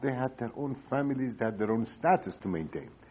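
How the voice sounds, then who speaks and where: A man with an Iranian accent, at a medium pitch and a fairly quick pace. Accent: Iranian (Persian) accent in English. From Iran, Tehran. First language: Persian. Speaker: economist, former central bank governor. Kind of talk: oral history interview answer. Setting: recorded interview in Cambridge, Massachusetts.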